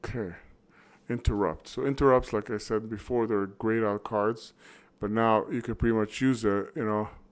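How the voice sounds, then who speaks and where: A man at medium pitch and a moderate pace, in a very clean recording with a silent background. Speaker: indie game developer. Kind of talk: gameplay walkthrough with commentary. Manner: animated.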